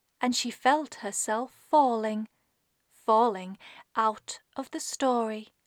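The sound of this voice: The background stays quiet behind an unforced reading voice.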